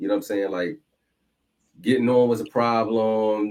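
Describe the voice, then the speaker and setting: In a Philadelphia accent, a man speaks at a fairly quick pace and medium pitch. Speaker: podcast host. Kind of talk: casual interview chat.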